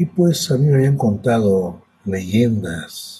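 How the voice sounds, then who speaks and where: Man's voice at a very slow pace with lively intonation. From Mexico, hot region. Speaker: podcast host and storyteller. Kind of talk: personal storytelling. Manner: halting.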